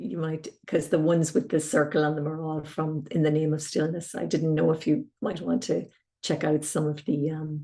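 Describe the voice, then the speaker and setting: The speaker has an Irish accent and a dark, mellow tone. The pace is moderate, with ordinary pitch variation. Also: woman, very deep, low pitch for a woman. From Ireland, County Tipperary. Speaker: harpist and singer-composer. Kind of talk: interview.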